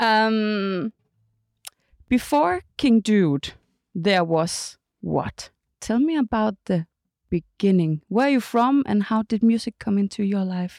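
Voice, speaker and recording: Speaking very slowly with a Danish accent, a woman's fairly high voice comes through dry and close, with no echo. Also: lively intonation. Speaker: podcast host. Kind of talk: casual interview. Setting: studio.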